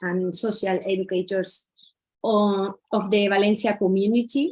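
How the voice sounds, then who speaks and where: A woman talks in a Spanish accent at a medium pitch. Her intonation is fairly even and her pace fairly slow. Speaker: social educator. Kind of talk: conference talk. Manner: halting, many fillers.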